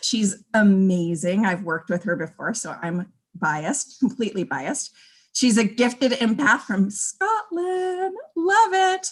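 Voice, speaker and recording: In an upbeat, enthusiastic tone, a somewhat breathy woman speaks at a fairly slow pace with very wide pitch swings. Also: fairly high pitch for a woman. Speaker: personal transformation coach. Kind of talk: livestream interview host intro.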